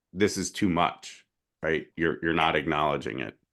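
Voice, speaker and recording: A man against a quiet background. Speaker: podcast co-host. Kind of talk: casual discussion.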